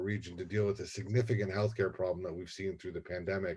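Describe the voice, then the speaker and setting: The voice is somewhat breathy with a dark, mellow tone, moving at a very fast pace with fairly even intonation. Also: man. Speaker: university administrator. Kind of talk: presentation.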